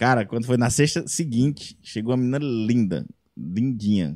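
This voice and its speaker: A dark, mellow male tone, dry and close, with no echo. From Brazil, Ceará interior. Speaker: comedian and singer-songwriter. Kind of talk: casual chat. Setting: studio.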